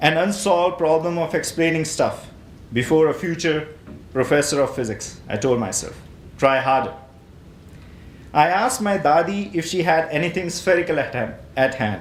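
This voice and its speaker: Lively intonation in an Indian accent at a moderate pace, with long, frequent pauses and audible room echo. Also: man, fairly high pitch for a man. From northern India, Himachal Pradesh. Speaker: poet. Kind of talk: poetry reading.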